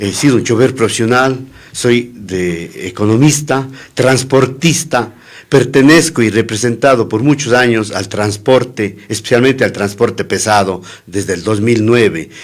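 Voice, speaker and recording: At a fairly slow pace, a man talks in an ordinary speaking voice of medium pitch with ordinary pitch variation. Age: 60s. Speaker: political candidate. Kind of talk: radio interview.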